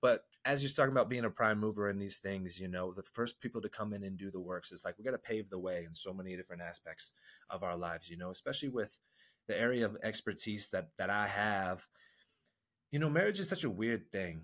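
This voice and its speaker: The recording is very clean with a silent background as a man speaks at a very fast pace with ordinary pitch variation. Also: fairly low pitch for a man. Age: 40s. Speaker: marriage and men's coach. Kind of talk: podcast interview. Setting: studio.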